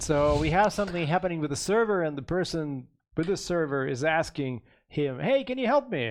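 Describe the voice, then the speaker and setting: With a Middle Eastern accent, the speaker uses lively intonation at a fairly quick pace. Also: man, fairly high pitch for a man. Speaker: game developer. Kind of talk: casual chat. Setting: studio.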